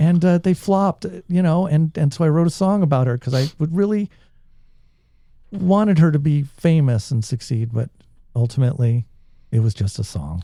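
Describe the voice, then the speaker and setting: A man with an American accent speaks in a fairly high, somewhat breathy voice with a dark, mellow tone. The sound is dry and close with no echo, and his pauses are long and frequent. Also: moderate pace. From Southern California. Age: 50s. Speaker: musician and songwriter. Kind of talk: casual chat.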